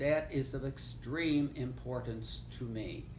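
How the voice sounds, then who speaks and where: A man speaks at a fairly slow pace. Audible room echo is present. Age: 80s+. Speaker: retired lecturer, grandfather. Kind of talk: oral history interview. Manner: halting with fillers and stammers.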